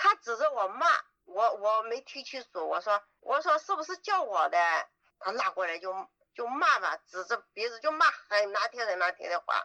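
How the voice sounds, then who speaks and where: The voice moves at a moderate pace with very wide pitch swings, and the sound is dry and close with no echo. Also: woman, fairly high pitch for a woman. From Yunnan, Dali. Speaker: trafficking survivor. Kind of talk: interview testimony.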